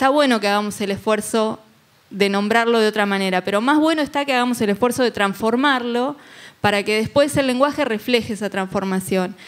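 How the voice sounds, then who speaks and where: A woman speaks at a fairly quick pace, her fairly high pitch moving with ordinary variation. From Argentina. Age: 40s. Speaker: journalist and legislative official; journalist. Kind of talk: panel discussion. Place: hall. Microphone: handheld.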